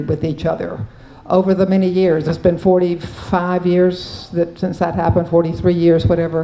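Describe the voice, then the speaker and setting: A fairly low-pitched woman's voice at a moderate pace, with audible room echo and noticeable background noise. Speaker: Episcopal priest, panelist. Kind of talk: conference panel talk. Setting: conference panel with audience.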